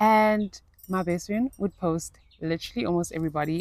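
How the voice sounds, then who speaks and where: This woman, with a fairly low voice, keeps a moderate pace and lets her pitch vary in an ordinary way. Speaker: lifestyle vlogger. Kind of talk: casual vlog monologue. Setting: outdoors in nature. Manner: animated; loud.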